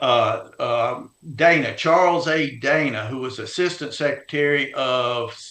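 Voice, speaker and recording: The voice belongs to a man with a Louisiana accent. Its pitch is fairly high and its tone bright and sharp. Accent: US Southern (Louisiana). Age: 70s. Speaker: heritage organization leader and author. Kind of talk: interview. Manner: halting, many fillers.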